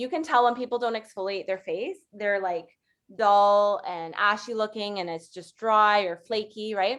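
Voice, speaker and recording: A woman talks with a fairly high pitch. Her pitch varies in an ordinary way. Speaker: makeup artist and skincare consultant. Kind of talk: sales presentation. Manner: fast; casual, chatty.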